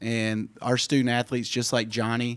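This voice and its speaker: A man with an American accent talks at a moderate pace in a medium pitch, his intonation monotone and flat, on a very clean recording with a silent background. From US South, Memphis, Tennessee. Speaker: university athletic director. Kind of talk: radio talk show interview. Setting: studio.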